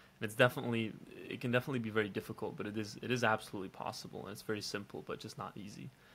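A man with medium pitch and fairly even intonation speaks at a very fast pace over light background noise. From Belgium. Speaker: online entrepreneur. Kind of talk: casual vlog monologue. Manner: casual, with many fillers.

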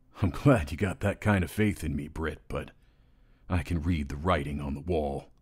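In a put-on character voice pitched very deep and low, a man speaks at a moderate pace on a very clean recording with a silent background. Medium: dub.

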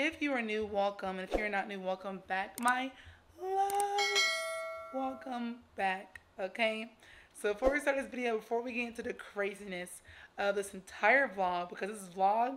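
A woman's voice at a moderate pace, with ordinary pitch variation and light background noise. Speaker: vlogger. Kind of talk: casual vlog chat. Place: home room. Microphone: phone near.

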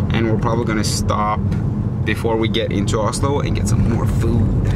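Loud background noise runs under a man speaking fairly quickly. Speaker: vlogger. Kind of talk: casual vlog chat. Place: car. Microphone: phone near.

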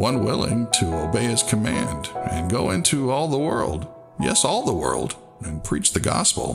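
With clear music playing in the background, a man talks at a fairly slow pace. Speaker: voice actor. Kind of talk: inspirational church tribute narration.

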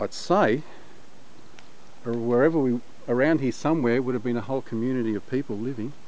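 Dry and free of echo, a man's voice moves at a fairly quick pace with ordinary pitch variation. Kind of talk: casual vlog commentary. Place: forest. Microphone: phone near.

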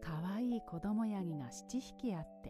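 Over music in the background, a soft-spoken woman talks in a calm tone at a medium pitch and a fairly slow pace, her pitch swinging very widely. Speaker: narrator. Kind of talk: bedtime story reading. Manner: soft, calm.

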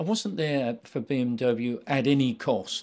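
A man talks at a fairly slow pace. He has a British accent. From England. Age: 70s. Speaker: retired racing driver. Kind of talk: interview. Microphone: handheld.

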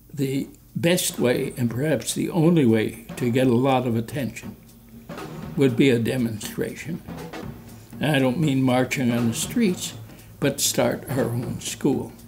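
A man with a Midwestern American accent at a fairly slow pace, with ordinary pitch variation and long, frequent pauses, over faint background music. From South Bend, Indiana. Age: 80s+. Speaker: alumnus, former congressional candidate. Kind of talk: interview answer. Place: home room.

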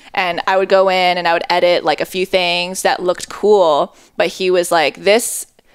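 With an American accent, a woman talks at a fairly low pitch with fairly even intonation against a quiet background. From China (raised abroad after Japan, Connecticut). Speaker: video editor. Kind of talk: casual chat. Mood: relaxed, reflective. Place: home room. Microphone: headset.

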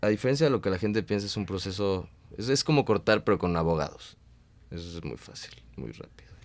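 Speaking at a very fast pace with a Mexican accent, the voice swings widely in loudness. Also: man, fairly low pitch for a man, lively intonation. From Mexico. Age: 30s. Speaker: stand-up comedian. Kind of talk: casual interview. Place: studio.

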